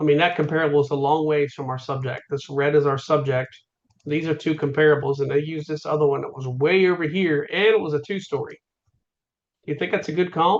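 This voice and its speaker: Talking at a very fast pace, a man with a fairly high voice keeps his intonation fairly even. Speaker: real estate instructor. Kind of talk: lecture.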